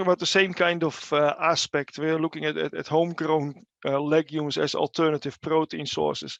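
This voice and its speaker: In a dry, close sound with no echo and a quiet background, a man with a Dutch accent talks at a high pitch and a moderate pace. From Netherlands. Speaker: animal nutrition researcher. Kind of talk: webinar presentation. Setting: online webinar. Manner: halting, many fillers and repeats.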